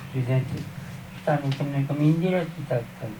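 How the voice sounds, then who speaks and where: A man's fairly high voice, with audible room echo and noticeable background noise. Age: 70s. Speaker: local resident. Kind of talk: vox pop interview. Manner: halting, repetitive.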